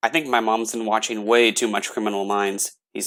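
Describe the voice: The speaker reads aloud plainly, with fairly even intonation. Nothing much sounds in the background.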